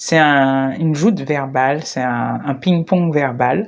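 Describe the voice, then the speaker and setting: Very slow delivery on a very clean recording with a silent background. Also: woman. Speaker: spiritual coach / video creator. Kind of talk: reflective monologue to camera. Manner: hesitant, stammering.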